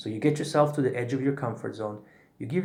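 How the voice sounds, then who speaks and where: The delivery is very fast, with vocal fry. Room echo can be heard. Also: man. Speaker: breathwork teacher. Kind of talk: tutorial.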